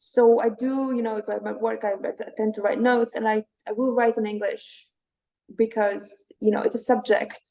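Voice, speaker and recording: A woman with a Latvian accent speaks in a fairly high pitch, her tone dark and mellow. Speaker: poet. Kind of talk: interview.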